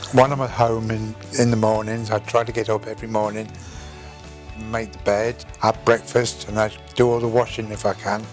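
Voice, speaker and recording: A man with a South Welsh accent speaks at a medium pitch and moderate pace with fairly even intonation, as music plays in the background. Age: 70s. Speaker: stroke survivor. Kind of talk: interview answer.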